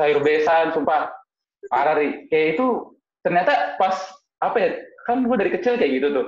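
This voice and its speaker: Lively intonation and very even loudness come at a moderate pace with long, frequent pauses, and audible room echo. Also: man, high pitch for a man. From Jakarta, Indonesia (Betawi). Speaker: Betawi culture activist. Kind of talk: casual chat. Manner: animated.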